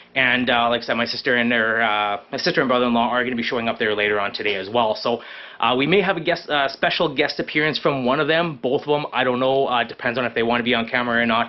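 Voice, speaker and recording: A man at a medium pitch with a Canadian accent, talking very fast with hardly any pauses and ordinary pitch variation. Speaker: fishing and camping vlogger. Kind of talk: casual vlog talk to camera. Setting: hot garage. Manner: rambling with many fillers.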